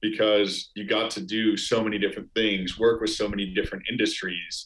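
A man speaks in a normal speaking voice with an American accent, his pitch fairly low and his pace fairly quick. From US Midwest, Chicago suburbs. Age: 20s. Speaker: startup founder. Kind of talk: casual interview.

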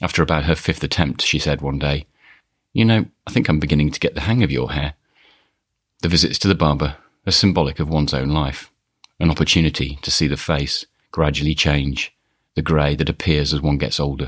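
Long, frequent pauses break up a man's very deep, low voice with vocal fry, which has a Birmingham accent, fairly even intonation and a fairly quick pace. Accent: Birmingham (Brummie). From Birmingham, England. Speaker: podcast host. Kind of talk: scripted personal storytelling.

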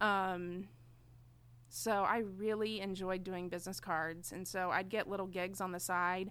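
The woman speaks at a medium pitch and a fairly slow pace, with monotone, flat intonation. Audible room echo surrounds her voice. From Enid, Oklahoma. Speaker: tattoo artist. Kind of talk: casual chat.

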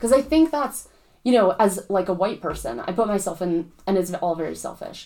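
Using very wide pitch swings around a medium pitch, a woman with vocal fry and a dark, mellow tone talks at a fairly quick pace. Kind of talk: casual chat.

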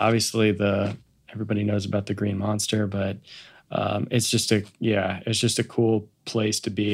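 Recorded very cleanly with a silent background, an ordinary speaking voice with an American accent goes at a moderate pace. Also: man. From US Midwest, Kansas City. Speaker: athletic trainer and performance coach. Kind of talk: casual interview chat.

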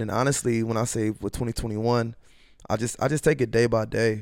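A plain, everyday voice from a man with an American accent, medium in pitch and fairly quick in pace, on a very clean recording with a silent background. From US Midwest, North Minneapolis. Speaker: rapper, former basketball player. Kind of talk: casual interview.

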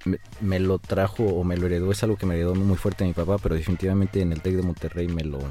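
A man's very deep, low voice with a dark, mellow tone, monotone and flat, at a very fast pace. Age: 30s. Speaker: structural engineer and podcast host. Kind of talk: casual interview chat.

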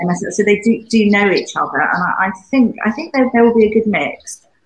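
A woman with a British accent speaks at a moderate pace, somewhat breathy, with ordinary pitch variation. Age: 80s+. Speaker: UK correspondent. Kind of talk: casual panel chat.

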